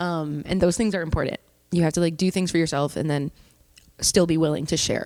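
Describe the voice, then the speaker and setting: Her pitch fairly low, a woman talks at a fairly quick pace with fairly even intonation in a plain, everyday voice. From Canada, Hamilton, Ontario. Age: 20s. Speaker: singer-songwriter. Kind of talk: casual interview chat. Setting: studio.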